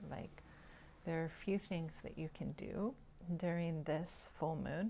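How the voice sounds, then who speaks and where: Soft-spoken with vocal fry, a woman talks at a very deep, low pitch with ordinary pitch variation. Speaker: vedic astrologer. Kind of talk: spiritual talk to camera. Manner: halting with fillers.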